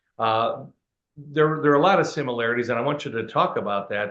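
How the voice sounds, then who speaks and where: Bright and sharp in tone, a man's fairly high-pitched voice shows ordinary pitch variation. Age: 60s. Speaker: museum director and interviewer. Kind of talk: interview. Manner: halting, many fillers.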